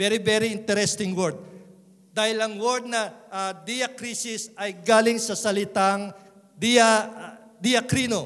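A man with a high pitch at a very slow pace, intonation fairly even, with audible room echo around him. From Philippines, Visayan parents. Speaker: pastor. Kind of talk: sermon.

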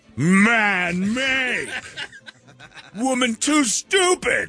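A man's put-on character voice, raised and projected, at an extremely high pitch. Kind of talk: clipped, primitive syntax. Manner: broken grunting speech, mocking.

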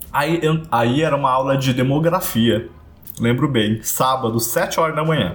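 Somewhat breathy and medium in pitch, a man speaks at a moderate pace with ordinary pitch variation. His loudness stays very even, and room echo is audible. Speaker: podcast co-host. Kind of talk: casual chat.

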